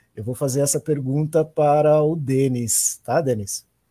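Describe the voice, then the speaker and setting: A man's fairly high, somewhat breathy voice with a dark, mellow tone, very slow, in a dry, close sound with no echo. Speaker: discussion moderator. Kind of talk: online panel discussion.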